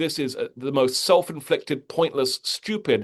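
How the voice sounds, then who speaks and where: A man speaks with an American accent. The sound is dry and close with no echo, and the background is quiet. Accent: British, slight American tinges. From Britain. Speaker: history professor and author. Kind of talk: interview.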